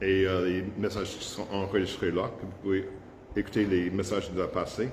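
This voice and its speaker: Noticeable background noise and audible room echo accompany a man with an English accent who speaks at a moderate pace with a fairly low pitch. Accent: English-speaking accent in French. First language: English (speaking French). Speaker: pastor. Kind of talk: sermon. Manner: halting, frequent hesitations.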